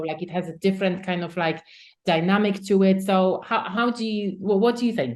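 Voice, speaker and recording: Talking at a fairly quick pace, a woman with a non-native accent has a medium pitch. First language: not English. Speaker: podcast host. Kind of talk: interview.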